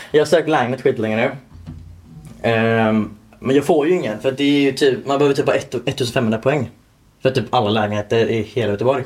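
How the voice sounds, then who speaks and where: A man with a normal speaking voice talks at a fairly quick pace, at medium pitch with ordinary pitch variation. His loudness stays very even. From Torslanda, Gothenburg, Sweden. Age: 20s. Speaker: podcast co-host, home care worker. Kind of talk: casual chat.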